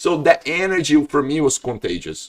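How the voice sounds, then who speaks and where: The speaker is a man. He talks with a northeastern Brazilian accent. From Brazil, Ceará (Northeast). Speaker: jiu-jitsu practitioner. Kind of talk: casual chat.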